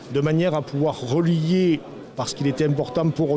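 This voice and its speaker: Over noticeable background noise, a man with a southern French accent talks at a moderate pace with a fairly high pitch and fairly even intonation. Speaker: mayor. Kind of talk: interview. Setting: conference. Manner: hesitant with fillers.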